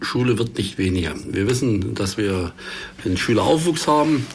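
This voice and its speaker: There is noticeable background noise and audible room echo as a man talks at a moderate pace in a fairly low pitch. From eastern Saxony, Germany (Görlitz district). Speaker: politician, party education spokesman. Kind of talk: panel discussion. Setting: studio.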